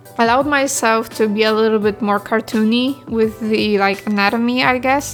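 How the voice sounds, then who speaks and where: Over music in the background, a woman with a fairly high pitch talks at a moderate pace. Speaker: digital artist. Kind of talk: unscripted voiceover over speedpaint. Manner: casual, rambling.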